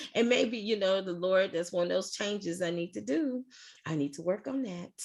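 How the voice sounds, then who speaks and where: The speaker uses a normal speaking voice at a moderate pace. The intonation is lively. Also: woman. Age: 60s. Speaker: group facilitator. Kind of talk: casual chat.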